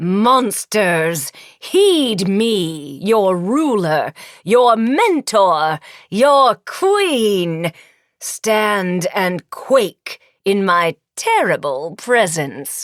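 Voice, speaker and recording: In a put-on character voice, a woman booms at a very slow pace from a medium pitch with very wide pitch swings, the sound dry and close with no echo. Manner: booming, commanding.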